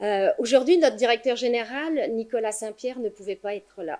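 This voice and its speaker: A woman's dark, mellow voice with a slight Quebec accent, a moderate pace and ordinary pitch variation. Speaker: foundation representative. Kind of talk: conference speech. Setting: conference with audience.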